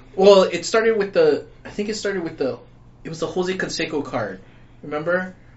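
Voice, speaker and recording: There is audible room echo as a man talks at a fairly quick pace, his pitch high with ordinary variation. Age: 40s. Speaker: podcast co-host. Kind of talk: casual chat.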